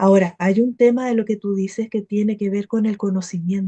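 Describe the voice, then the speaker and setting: A woman at medium pitch uses fairly even intonation in a dark, mellow and somewhat breathy voice. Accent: Chilean. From Chile. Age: 50s. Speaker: spiritual teacher and meditation practitioner. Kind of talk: testimony.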